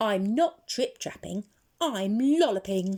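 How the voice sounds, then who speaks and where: In a put-on character voice, a woman talks at a fairly slow pace and a medium pitch. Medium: read story.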